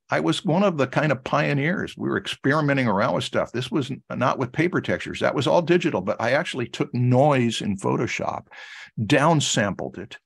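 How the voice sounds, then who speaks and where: A fairly high-pitched man with an American accent speaks at a moderate pace, showing vocal fry and lively intonation. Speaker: art instructor. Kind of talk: lecture. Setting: video call.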